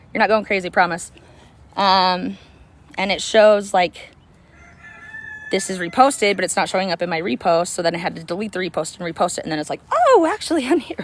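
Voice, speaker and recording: A woman at medium pitch, energetic and fairly quick, amid noticeable background noise. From US suburbs. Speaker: activist vlogger. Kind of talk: casual monologue. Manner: energetic, rambling with fillers.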